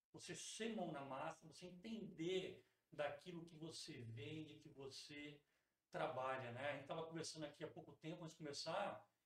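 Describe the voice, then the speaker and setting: With ordinary pitch movement, this man talks in a fairly high voice. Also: moderate pace. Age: 40s. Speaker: teacher and school founder. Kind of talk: casual interview.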